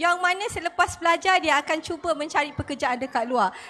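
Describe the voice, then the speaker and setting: A woman uses a raised, projected voice with a bright, sharp tone and ordinary pitch variation over light background noise. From Malaysia. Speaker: lecturer. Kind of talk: panel discussion. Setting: stage with audience. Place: hall. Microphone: handheld.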